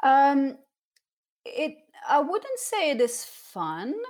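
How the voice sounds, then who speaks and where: A woman speaks with a French accent at a very slow pace. The recording is very clean, with a silent background. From southern France (Cannes). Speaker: professional dancer and artist. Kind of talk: casual interview.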